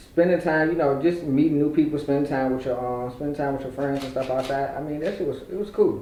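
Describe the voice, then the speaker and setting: A man talks very fast at a fairly high pitch with fairly even intonation. The audio has audible room echo and noticeable background noise. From Richmond, Virginia (north side). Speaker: podcast guest, social media personality. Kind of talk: casual interview.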